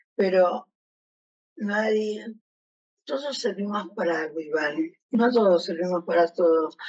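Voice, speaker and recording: At a fairly slow pace, a woman speaks at medium pitch. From Argentina. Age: 60s. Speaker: retired educational psychologist, Parkinson's patient. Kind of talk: testimony.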